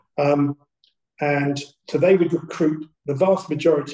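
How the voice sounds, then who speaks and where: A man speaks at a fairly slow pace with a fairly high pitch. His tone is dark and mellow, and somewhat breathy. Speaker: retired detective and police trainer. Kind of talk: casual interview. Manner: halting.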